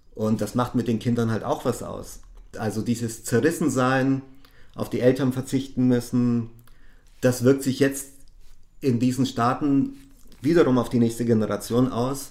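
The voice has a dark, mellow tone and fairly even intonation. It moves at a fairly slow pace with long, frequent pauses. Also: man, medium pitch for a man. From Bavaria, Augsburg. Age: 50s. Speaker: social care worker. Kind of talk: interview testimony.

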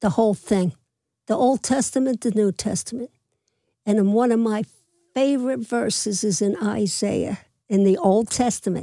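In an American accent, a woman with a fairly high pitch and a dark, mellow tone speaks at a moderate pace with ordinary pitch variation, very even loudness and long, frequent pauses, in a dry, close sound with no echo. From Philadelphia (Manayunk), Pennsylvania. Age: 80s+. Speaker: retired babysitter and mother. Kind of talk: casual interview. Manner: energetic.

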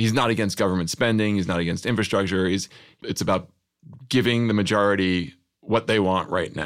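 In an ordinary speaking voice, a man talks at a fairly quick pace with fairly even intonation and a fairly low pitch. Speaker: journalist and comedy writer. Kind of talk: casual interview chat.

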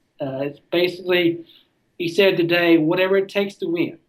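A man speaks in a high pitch. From US South, Tennessee (near Nashville). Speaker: sports writer. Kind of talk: casual chat.

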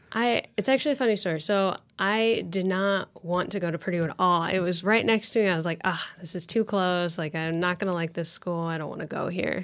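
A woman with a Midwestern American accent talks at a fairly quick pace with hardly any pauses. Her medium-pitched voice has ordinary pitch variation in a very clean recording with a silent background. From Indiana (Lafayette). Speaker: university student. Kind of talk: interview. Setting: studio.

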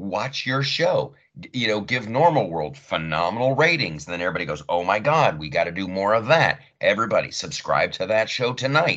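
Speaking with an American accent at a moderate pace, a man has a bright, sharp tone, vocal fry and very wide pitch swings. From US Midwest, Columbus Ohio. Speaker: comedian and podcast host. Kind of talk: casual chat. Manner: animated.

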